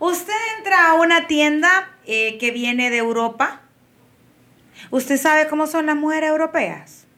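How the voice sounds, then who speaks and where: In a raised, projected voice with a bright, sharp tone and high pitch, a woman with a Honduran accent speaks at a fairly slow pace, leaving long, frequent pauses. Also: lively intonation. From Honduras, Tegucigalpa. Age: 30s. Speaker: publicist and body positivity influencer. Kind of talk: casual chat. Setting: studio.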